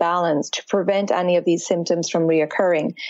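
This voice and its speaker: Her pitch medium and her intonation fairly even, a woman speaks in an Irish accent. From Ireland. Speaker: fitness and yoga instructor, Ayurveda practitioner. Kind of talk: interview about health and wellness.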